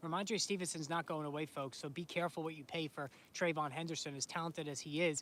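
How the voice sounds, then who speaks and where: A man speaks with an American accent and a high pitch. His pace is very fast. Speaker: fantasy sports streamer. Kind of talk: casual live stream chat. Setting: home, live stream filming snowstorm. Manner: animated.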